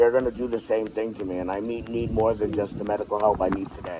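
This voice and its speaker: There is noticeable background noise behind the speaker. He is a man with a medium-pitched voice. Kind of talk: heated debate.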